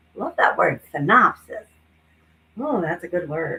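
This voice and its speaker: An animated voice in an American accent, with very wide pitch swings. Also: woman. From New Jersey, US. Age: 60s. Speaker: psychic and comedian, live streamer. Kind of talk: casual live stream chat. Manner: chatty, animated.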